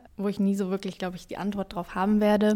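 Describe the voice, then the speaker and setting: Medium-pitched woman's voice, dark and mellow in tone, with monotone, flat intonation on a very clean recording with a silent background. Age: 20s. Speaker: student and musician. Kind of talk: interview. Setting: outdoors in a garden.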